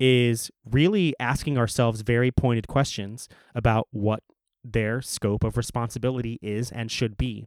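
A man speaks at a moderate pace with an American accent, in an unremarkable speaking voice of medium pitch. The recording is very clean, with a silent background and dry, close sound with no echo. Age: 30s. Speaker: city council member and podcaster. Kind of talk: interview.

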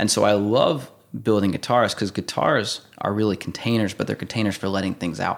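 A man speaks with an American accent at a fairly low pitch. His pace is fairly quick and his pitch variation ordinary. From Indiana, US Midwest. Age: 20s. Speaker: guitar builder. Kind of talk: casual interview. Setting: workshop.

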